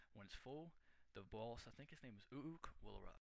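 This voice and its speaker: With ordinary pitch variation, this man rattles through his words at a very fast pace. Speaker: gamer. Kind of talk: game walkthrough voice-over.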